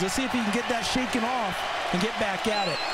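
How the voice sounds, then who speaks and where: There is noticeable background noise behind the speaker. A man talks at a fairly quick pace. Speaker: football color commentator. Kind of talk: live commentary. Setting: stadium broadcast booth.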